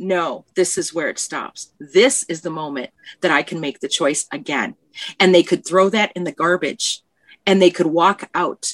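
Fairly low in pitch, a woman speaks at a moderate pace in a plain, everyday voice. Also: dry, close sound with no echo. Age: 50s. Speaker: podcast guest. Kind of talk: casual chat.

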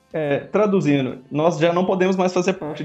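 A man speaks at a high pitch and a fairly quick pace amid noticeable background noise. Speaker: podcast co-host. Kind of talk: casual chat.

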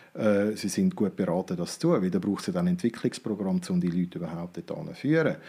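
Very fast, with hardly any pauses, very wide pitch swings and a dark, mellow tone, on a very clean recording with a silent background. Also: man, fairly low pitch for a man. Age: 50s. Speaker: business consultant. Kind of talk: interview.

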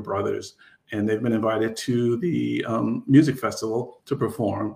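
Somewhat breathy and medium in pitch, a man with an American accent speaks at a moderate pace on a very clean recording with a silent background. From New York. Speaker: romance author. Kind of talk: reading aloud.

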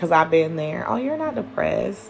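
A woman talks over noticeable background noise. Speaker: podcast host. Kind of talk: personal monologue. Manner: casual, laughing.

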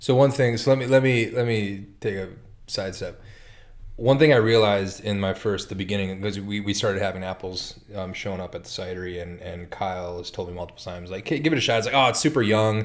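A man talks at a very fast pace with an American accent. His pitch is fairly low, with ordinary variation. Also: big swings in loudness. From North Dakota, US Midwest. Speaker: cider maker. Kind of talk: casual chat. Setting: studio.

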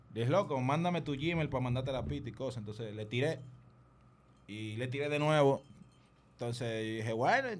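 A man with a Dominican accent speaks at a moderate pace, with long, frequent pauses and audible room echo. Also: medium pitch for a man, ordinary pitch variation. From Dominican Republic. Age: 30s. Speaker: music producer. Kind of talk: casual chat.

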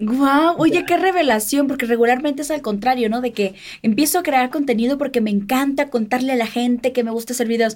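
Over noticeable background noise, a woman talks at a very fast pace in a high pitch, with hardly any pauses. Her tone is animated and her pitch varies in an ordinary way. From Mexico, Sinaloa. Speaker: podcast host. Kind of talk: interview.

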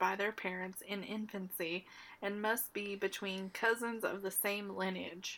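A woman's bright, sharp, playful voice at medium pitch, with fairly even intonation and a moderate pace. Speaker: podcast co-host. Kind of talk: casual chat, joking. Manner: playful, joking.

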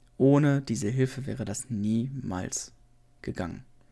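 Pitch moves in an ordinary way here. The tone sounds dark and mellow. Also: man. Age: 20s. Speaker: podcaster and former let's player. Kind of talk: solo podcast monologue, unscripted. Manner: hesitant, many fillers.

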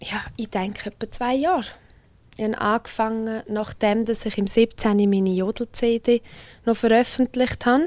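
A woman with a Graubünden accent, her fairly high pitch carried by fairly even intonation. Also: fairly slow pace. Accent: Swiss German, Bündner dialect. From Switzerland, Graubünden (Engadin). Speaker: singer. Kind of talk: interview.

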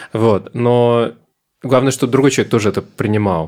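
On a very clean recording with a silent background, a man talks at a medium pitch in a plain, everyday voice. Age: 20s. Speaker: psychotherapist. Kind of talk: casual interview.

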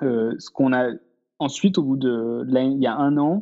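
This is a man speaking at a medium pitch. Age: 30s. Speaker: startup founder. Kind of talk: casual interview.

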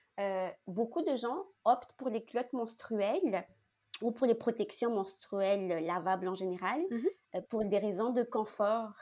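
The voice has a dark, mellow tone and ordinary pitch variation at a fairly slow pace. The recording is very clean with a silent background. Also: woman, fairly high pitch for a woman. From Madagascar. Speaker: entrepreneur. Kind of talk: interview.

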